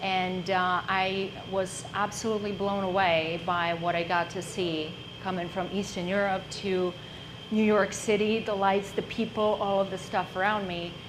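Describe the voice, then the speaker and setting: In a Czech accent, a woman talks at a fairly slow pace with monotone, flat intonation at a medium pitch, amid audible room echo and noticeable background noise. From Czech Republic. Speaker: entrepreneur. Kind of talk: business presentation.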